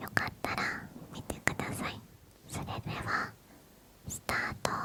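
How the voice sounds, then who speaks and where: At a medium pace, a woman whispers with clearly audible background noise behind her. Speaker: ASMR creator. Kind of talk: ASMR intro talk.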